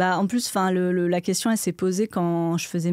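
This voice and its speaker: In a dry recording with no echo and a quiet background, a woman with a fairly low, dark, mellow voice speaks at a moderate pace with fairly even intonation. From France, Burgundy. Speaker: archaeologist and science YouTuber; science YouTuber. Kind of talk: casual interview. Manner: halting, many fillers. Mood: calm, reflective. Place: studio. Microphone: studio mic.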